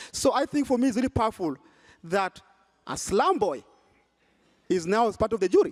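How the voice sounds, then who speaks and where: A man with a strong Kenyan accent speaks in an animated tone at a moderate pace, his pitch swinging very widely. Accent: Kenyan, thick. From Kenya, Nairobi (Kibera). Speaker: nonprofit founder and prize juror. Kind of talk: panel discussion.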